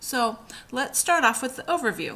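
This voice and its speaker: With a plain, everyday voice, a woman keeps a moderate pace, her intonation lively. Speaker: teacher. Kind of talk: tutorial.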